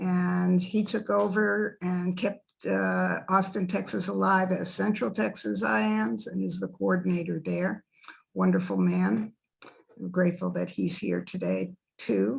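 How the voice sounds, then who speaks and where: With an American accent, a woman talks at a fairly slow pace in a very deep, low voice that swings very widely in pitch. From New York City. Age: 70s. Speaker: near-death experiencer speaker. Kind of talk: talk to a support group.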